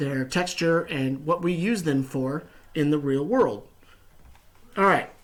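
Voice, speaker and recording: The voice carries an American accent and ordinary pitch variation. The pace is very slow. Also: man. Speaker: science teacher. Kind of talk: recorded lesson. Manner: animated.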